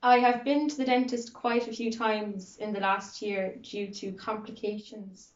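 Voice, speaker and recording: At a moderate pace, a woman talks with fairly high pitch and fairly even intonation but big swings in loudness. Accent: Kerry. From Ireland, County Kerry. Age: 20s. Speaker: student interviewee. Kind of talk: interview.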